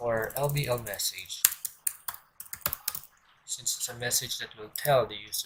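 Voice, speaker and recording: Fairly slow pace, with noticeable background noise. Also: man. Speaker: programming instructor. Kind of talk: screen-recorded coding tutorial.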